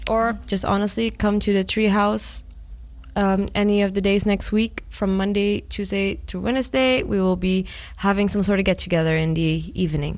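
A woman speaks at a moderate pace, her loudness very even throughout. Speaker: student association president. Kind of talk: casual interview. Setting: studio.

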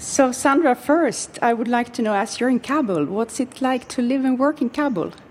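A woman's high voice at a moderate pace with ordinary pitch variation and hardly any pauses, over noticeable background noise. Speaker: podcast host. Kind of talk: interview.

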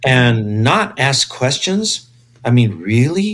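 A man of medium pitch with an American accent and very wide pitch swings. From US, East Los Angeles. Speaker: science journalist and astrophysicist. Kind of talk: casual interview. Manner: animated.

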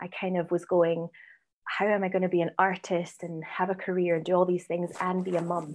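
In a Scottish accent, a woman with a fairly low pitch talks at a fairly quick pace in a monotone, flat intonation against a quiet background. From Scotland, Edinburgh. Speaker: writer, director and actress. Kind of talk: interview.

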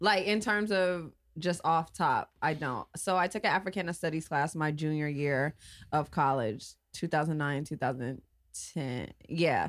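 With an American accent, a woman speaks at a fairly slow pace in a very deep, low pitch. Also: ordinary pitch variation. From Los Angeles, California. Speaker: podcast host. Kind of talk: casual chat.

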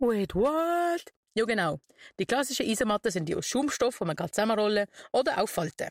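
Over a silent background in a very clean recording, a woman with an unremarkable speaking voice talks at a fairly quick pace and medium pitch, the sound dry and close with no echo. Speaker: scout radio show host. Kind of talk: scripted segment presentation. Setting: outdoor broadcast bus in city square.

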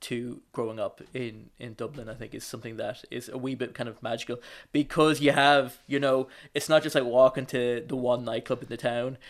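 Speaking at a fairly quick pace with an Irish accent, a man keeps a monotone, flat intonation while his loudness swings widely. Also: medium pitch for a man. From Ireland, County Wicklow. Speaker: podcast co-host. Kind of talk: casual chat. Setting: remote call.

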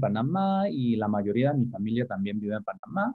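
Here a man talks at a medium pitch. His intonation is lively. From Caribbean and Panama, raised partly abroad. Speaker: professor of education policy. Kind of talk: interview. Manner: halting, many repeated words.

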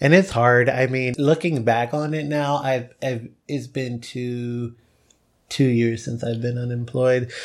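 Using an ordinary speaking voice, a man talks at a medium pitch and a fairly slow pace with fairly even intonation. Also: very clean recording, silent background. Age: 20s. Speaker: recent college graduate. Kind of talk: casual chat.

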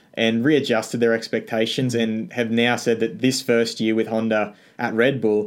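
On a very clean recording with a silent background, a man with an Australian accent speaks at a fairly low pitch. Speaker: F1 news YouTuber. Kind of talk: casual interview chat.

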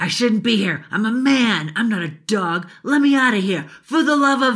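At a moderate pace, the speaker uses a put-on character voice with a fairly high pitch. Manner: furious, desperate, threatening.

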